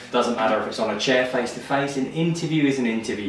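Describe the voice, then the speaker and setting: A man with an English accent amid noticeable background noise and audible room echo. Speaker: recruitment business owner giving career advice. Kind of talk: advice monologue to camera.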